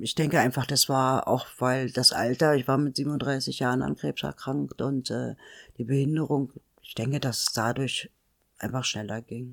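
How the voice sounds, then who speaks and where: A woman's very deep, low voice with vocal fry, fairly even intonation and a fairly slow pace, on a very clean recording with a silent background. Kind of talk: interview.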